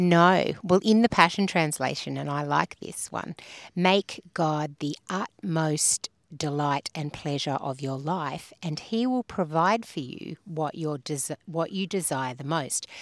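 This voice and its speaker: A fairly slow delivery with an Australian accent and ordinary pitch variation. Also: woman, very deep, low pitch for a woman. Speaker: podcast host. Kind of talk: casual chat about faith. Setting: outdoors by a river.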